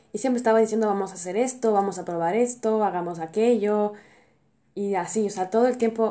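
Fairly quick female speech in a dark, mellow tone with ordinary pitch variation. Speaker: podcast host. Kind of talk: personal monologue.

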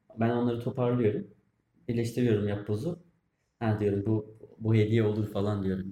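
A man talks at a moderate pace with fairly even intonation. His fairly low voice has a dark, mellow tone and is somewhat breathy. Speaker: podcast co-host. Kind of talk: casual chat. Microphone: far from mic, quiet.

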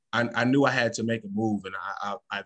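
An ordinary speaking voice from a man with an American accent, medium pitch, and fairly even intonation. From Northern Illinois, Freeport. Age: 30s. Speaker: retired barber, educator and author. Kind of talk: casual interview.

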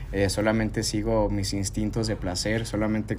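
A man with a Mexican accent speaks at a moderate pace in a fairly low pitch, with ordinary pitch variation and audible room echo. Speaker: podcast host. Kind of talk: casual chat.

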